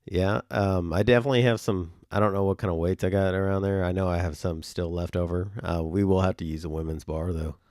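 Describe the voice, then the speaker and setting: A man with a very deep, low pitch talks at a fairly quick pace with hardly any pauses and fairly even intonation, recorded very cleanly against a silent background. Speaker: podcast co-host. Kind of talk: casual chat. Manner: rambling, halting with fillers.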